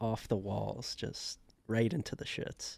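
A man speaks at a very slow pace. His tone is dark and mellow. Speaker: podcast co-host. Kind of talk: casual chat.

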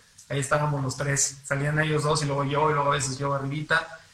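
Very fast speech with fairly even intonation amid noticeable background noise. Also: man. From San Luis Potosí, Mexico. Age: young. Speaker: singer-songwriter and lawyer. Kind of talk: radio interview. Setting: radio studio.

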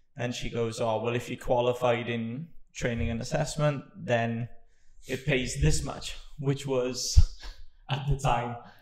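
A man at a medium pitch speaks with vocal fry and fairly even intonation. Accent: Welsh. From Wales. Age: 30s. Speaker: podcast host and business owner. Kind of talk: casual chat.

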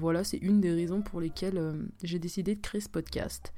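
Fairly even intonation from a woman with a fairly low pitch and a dark, mellow tone. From Switzerland. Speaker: podcaster, student. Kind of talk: casual solo talk. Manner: hesitant, many fillers.

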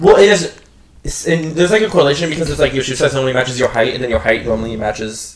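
A man speaks very fast in a fairly high voice with ordinary pitch variation over noticeable background noise. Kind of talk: casual chat. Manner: halting, filler-heavy.

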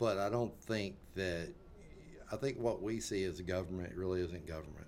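A man with a very deep, low pitch speaks at a moderate pace with ordinary pitch variation and long, frequent pauses. Audible room echo surrounds him. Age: 50s. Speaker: political commentator. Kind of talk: casual chat.

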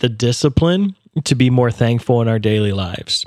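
Recorded very cleanly against a silent background, a man talks at a moderate pace and medium pitch in an unremarkable speaking voice. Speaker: podcast co-host, youth mission leader. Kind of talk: casual faith discussion.

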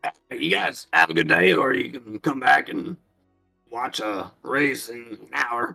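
Doing a put-on character voice, a man sounds raspy, guttural and strained at a medium pitch and fairly slow pace, with faint music in the background. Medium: actual play. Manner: chatty, friendly.

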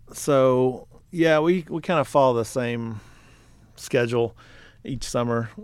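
Speaking with a Texan accent, a man goes at a fairly slow pace with long, frequent pauses. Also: medium pitch for a man, ordinary pitch variation. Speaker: podcast co-host, apparel business co-founder. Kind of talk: casual chat.

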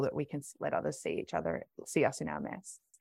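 A woman with an Australian accent talks at a fairly quick pace in a dry, close sound with no echo on a very clean recording with a silent background. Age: 30s. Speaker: doula. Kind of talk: interview.

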